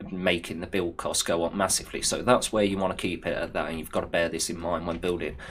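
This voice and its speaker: A man's very deep, low voice holds fairly even intonation. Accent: English Midlands. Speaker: video game youtuber. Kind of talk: gameplay tutorial. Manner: casual.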